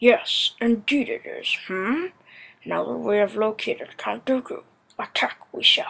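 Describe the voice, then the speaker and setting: A woman puts on a character voice. She delivers it at a fairly slow pace. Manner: calm, wise, inverted word order.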